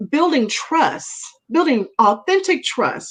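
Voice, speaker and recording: Loud and animated, the voice moves at a fairly slow pace with very wide pitch swings. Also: woman. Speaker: women's network leader, talk show guest. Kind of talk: casual talk show conversation.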